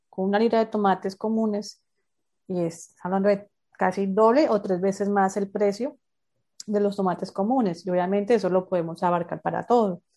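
Her voice has a dark, mellow tone, a medium pitch and fairly even intonation, and this woman talks at a moderate pace. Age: 30s. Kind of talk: interview. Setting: remote call.

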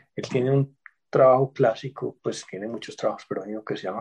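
Somewhat breathy, a man with an Antioquia Colombian accent talks with fairly even intonation in a dry, close sound with no echo. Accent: Colombian Paisa (Antioquia) Spanish. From Colombia, Medellín (Antioquia). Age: 40s. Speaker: history professor. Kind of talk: interview.

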